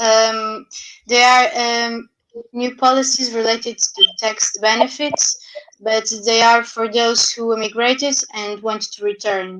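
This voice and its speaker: A woman with a non-native accent speaks at a fairly slow pace. Her pitch is fairly high, and her intonation stays fairly even. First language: not English. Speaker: youth panelist. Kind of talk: panel discussion. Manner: halting.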